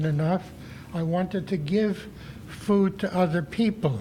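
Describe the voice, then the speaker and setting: Amid noticeable background noise, a man with a high pitch talks fairly slowly with ordinary pitch variation. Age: 80s+. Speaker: resident speaking at public comment. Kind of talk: public comment at town board meeting. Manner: halting, with many fillers.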